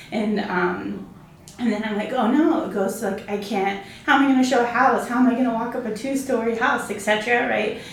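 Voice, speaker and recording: Noticeable background noise sits behind a woman with an American accent. Her pitch is fairly high, her intonation fairly even, her pace moderate. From Arizona. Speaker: real estate agent and team leader. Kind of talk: casual interview chat.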